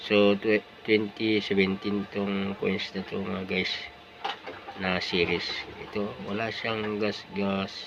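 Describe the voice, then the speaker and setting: Over noticeable background noise, a man speaks at a fairly low pitch. His delivery is very slow, monotone and flat. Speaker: coin collector vlogger. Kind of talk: casual vlog talk. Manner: hesitant, many fillers. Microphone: cheap cellphone.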